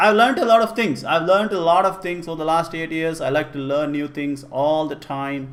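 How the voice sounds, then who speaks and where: A man talks with an Indian accent at a fairly high pitch. His pace is moderate and his pitch variation ordinary. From India (Karnataka, Kannada-speaking). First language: Kannada. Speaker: programming teacher. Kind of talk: live-streamed class, casual Q&A. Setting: live stream. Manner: casual, with fillers and repetitions.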